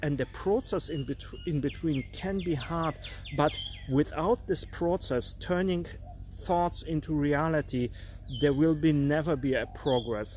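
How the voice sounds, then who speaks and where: Speaking at a fairly slow pace with a non-native accent, a man uses a fairly high pitch and ordinary pitch variation. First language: not English. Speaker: artist and art career coach. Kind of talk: live stream talk. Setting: live stream. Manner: halting, with frequent fillers.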